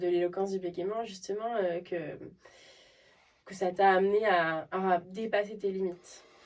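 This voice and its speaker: Intonation here stays fairly even. It is an unremarkable speaking voice. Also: woman. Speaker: speech therapist. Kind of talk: interviewer.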